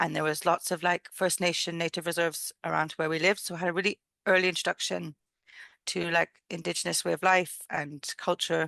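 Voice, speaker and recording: Against a quiet background, a woman with a fairly low pitch speaks in a flat monotone with vocal fry and a bright, sharp tone, the sound dry and close with no echo. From Canada (Ontario), born in England. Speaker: midwife and nurse. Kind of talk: interview conversation. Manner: casual, with many fillers.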